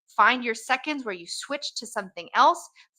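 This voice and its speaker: A woman's high-pitched voice, bright and sharp in tone, with ordinary pitch variation. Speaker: hair colorist and educator. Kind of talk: interview chat. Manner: fast.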